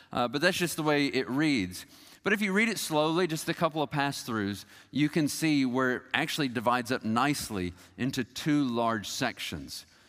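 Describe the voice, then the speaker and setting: A man with an ordinary speaking voice and a fairly high pitch speaks with lively intonation on a very clean recording with a silent background. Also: moderate pace. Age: 40s. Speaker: pastor. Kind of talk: sermon.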